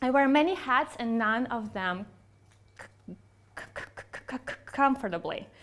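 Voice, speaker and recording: A woman talks at a fairly slow pace in a high pitch. Her intonation is lively, and her loudness swings widely. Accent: Russian. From Russia. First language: Russian. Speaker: psychologist and researcher. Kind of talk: keynote speech.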